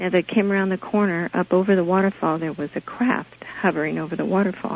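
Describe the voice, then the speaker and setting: Soft-spoken, a woman with an American accent talks at a fairly quick pace. Her intonation is fairly even, and there is noticeable background noise. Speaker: caller. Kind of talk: phone-in testimony. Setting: phone call.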